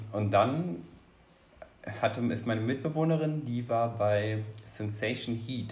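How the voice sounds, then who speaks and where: In a room with audible echo, a man of medium pitch talks at a very slow pace with ordinary pitch variation and long, frequent pauses. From Rhineland-Palatinate, Ahr valley. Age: 20s. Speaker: cheerleader, engineer. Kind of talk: interview.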